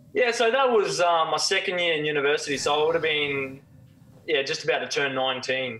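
A man with an Australian accent and lively intonation. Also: fairly quick pace. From Australia, Cairns (far north Queensland); Queensland, Australia. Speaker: former professional footballer; guest. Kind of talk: casual chat. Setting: remote call. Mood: reflective, candid. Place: home room. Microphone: video call.

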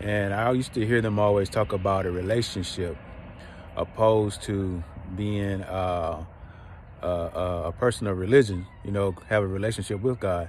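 With a Georgia accent, a man talks at a moderate pace and fairly low pitch with fairly even intonation, in a dry sound with no echo and light background noise. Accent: Southern US, Georgia. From US South, rural south Georgia. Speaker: online preacher / inspirational video host; online preacher, inspirational video host. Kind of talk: personal testimony; sermon-style monologue. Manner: repetitive, emphatic preaching cadence. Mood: calm, reflective. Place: open country. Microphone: phone near.

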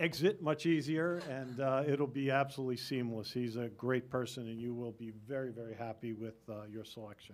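Male speech at a fairly quick pace, hardly any pauses, and ordinary pitch variation. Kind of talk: meeting report remarks. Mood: warm, grateful. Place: meeting room. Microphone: podium.

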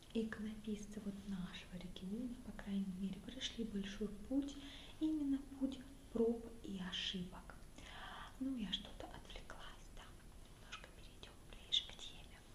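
A soft-spoken woman talks at a fairly slow pace, with long, frequent pauses, big swings in loudness and ordinary pitch variation. Audible room echo and light background noise sit behind her voice. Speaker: museum guide. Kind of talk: online guided tour talk about icons. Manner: soft, quiet ASMR speaking voice. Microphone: webcam.

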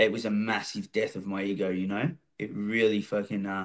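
The speaker has an Australian accent, heard over a quiet background. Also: man. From Melbourne western suburbs, Australia. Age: 40s. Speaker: former prisoner and recovery speaker. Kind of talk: casual interview. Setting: studio. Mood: reflective, candid about past. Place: home room. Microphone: video call.

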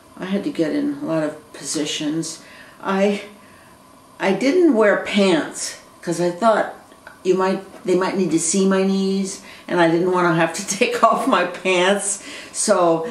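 Long, frequent pauses from a woman at a fairly slow pace, ordinary pitch variation and audible room echo. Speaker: video blogger. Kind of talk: casual vlog chat. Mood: amused, relaxed. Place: home room. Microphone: webcam.

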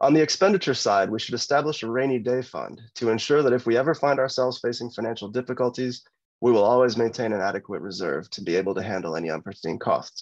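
A man with an American accent, medium pitch and lively intonation, talking at a very fast pace with hardly any pauses against a quiet background. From Michigan. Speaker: political candidate, lawyer. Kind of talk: candidate forum speech. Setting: video call. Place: home room. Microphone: video call.

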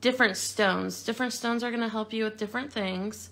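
Her pitch shifts in an ordinary way as the woman talks. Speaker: craft store instructor. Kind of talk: tutorial. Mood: relaxed friendly.

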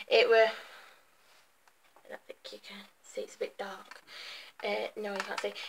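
Background noise is clearly noticeable in this clip. The voice belongs to a woman. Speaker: beauty vlogger. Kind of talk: casual vlog chat. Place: home room. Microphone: webcam.

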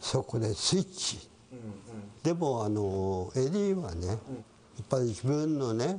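Over light background noise, a dark, mellow tone moves at a moderate pace with very wide pitch swings. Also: man. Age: 80s+. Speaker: witness of wartime zoo animal killings. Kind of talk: interview answer. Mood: somber reminiscing. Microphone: lapel.

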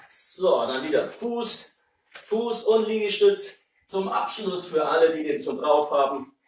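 Very slow pace from a man, plus audible room echo. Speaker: fitness instructor. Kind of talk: workout instruction. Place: kitchen. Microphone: camera far.

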